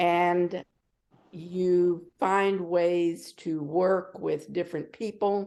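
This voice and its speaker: In an American accent, a woman speaks with a dark, mellow tone and a fairly low pitch. Her intonation is monotone and flat. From Texas, Fort Worth. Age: 70s. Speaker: retired school superintendent. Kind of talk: community meeting discussion.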